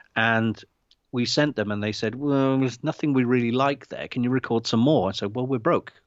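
A man has a normal speaking voice at a medium pitch. He talks at a fairly quick pace with fairly even intonation. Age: 50s. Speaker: indie filmmaker. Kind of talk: casual chat. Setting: video call. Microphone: unstable internet connection.

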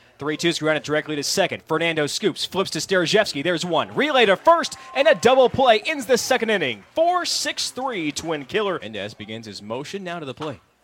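With hardly any pauses, a high-pitched man talks at a fairly quick pace, his pitch swinging very widely and his loudness shifting a lot. Noticeable background noise is present. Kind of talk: live baseball play-by-play commentary. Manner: fluent and rhythmic, calling each pitch and hit as it happens.

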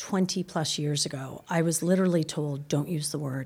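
In an American accent, a woman with an ordinary speaking voice talks at a fairly quick pace and fairly low pitch with ordinary pitch variation. The recording is very clean, with a silent background. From US (Boston, Palo Alto). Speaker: business school dean and professor. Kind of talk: interview.

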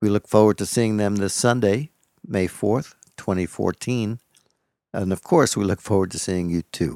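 A man talks at a moderate pace with ordinary pitch variation. The sound is dry and close, without any echo. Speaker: interviewer. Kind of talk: radio-style announcement and interview intro.

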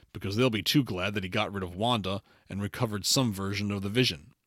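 A man talks at a fairly quick pace in a fairly low pitch. His pitch variation is ordinary. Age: 50s. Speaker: podcast host reviewing films and shows. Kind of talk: casual chat; scripted recap narration. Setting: remote recording from home.

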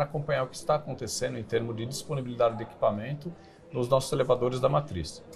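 Somewhat breathy, a man talks at a medium pitch with ordinary pitch variation. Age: 40s. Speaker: company CEO. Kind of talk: interview. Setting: studio.

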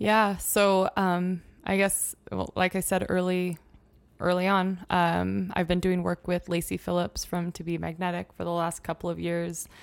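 A woman with an American accent speaks at a fairly slow pace in a fairly low, monotone, flat voice, recorded very cleanly against a silent background. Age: 20s. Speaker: yoga instructor and small business owner. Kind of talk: casual interview chat.

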